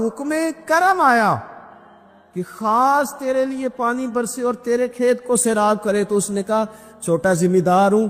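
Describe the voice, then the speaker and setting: A man's voice with lively intonation. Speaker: Islamic preacher. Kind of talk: Islamic sermon storytelling.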